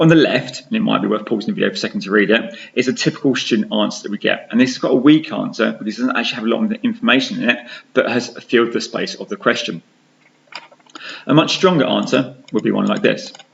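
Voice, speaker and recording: A man with an English accent at a very fast pace. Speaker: science teacher. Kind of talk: tutorial.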